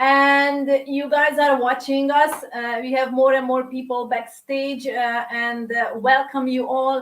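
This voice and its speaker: Speaking at a fairly slow pace, a woman uses a high-pitched voice with fairly even intonation. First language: Hungarian. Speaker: coach and course leader. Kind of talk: online live masterclass. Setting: live online stream. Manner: hesitant, many fillers.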